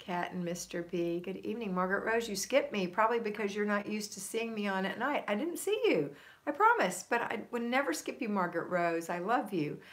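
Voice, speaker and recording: Over noticeable background noise, a woman with an American accent talks at a fairly quick pace with hardly any pauses, using a medium pitch and ordinary pitch variation. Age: 60s. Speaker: homemaking coach and live streamer. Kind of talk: live stream chat reading viewer comments. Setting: live stream.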